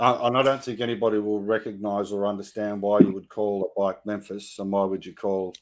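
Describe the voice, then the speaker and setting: A man with an Australian accent speaks at a fairly quick pace with hardly any pauses, his intonation monotone and flat while his loudness swings widely. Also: fairly low pitch for a man. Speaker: motorcycle vlogger. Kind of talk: interview. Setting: live stream.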